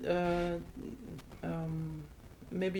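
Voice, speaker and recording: In a Dutch accent, a woman talks with monotone, flat intonation. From Netherlands. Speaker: podcast host. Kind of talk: interview conversation. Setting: recorded in the Netherlands.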